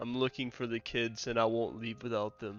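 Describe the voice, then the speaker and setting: A put-on character voice at a moderate pace. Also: man. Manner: menacing.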